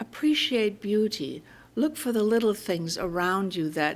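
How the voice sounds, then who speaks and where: A woman speaks in a German accent at a medium pitch. Her pace is fairly slow, and her pitch swings very widely. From Germany. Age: 80s+. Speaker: minister. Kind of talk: sermon.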